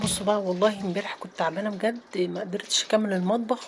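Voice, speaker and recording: Woman with an Egyptian accent, medium pitch and moderate pace, over noticeable background noise. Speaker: home routine vlogger. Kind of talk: casual vlog narration. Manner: chatty, informal.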